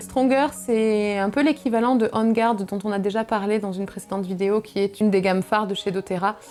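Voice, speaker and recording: Noticeable background noise runs beneath a voice with ordinary pitch variation. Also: woman. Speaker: wellness video creator. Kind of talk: casual product presentation. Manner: hesitant, many fillers.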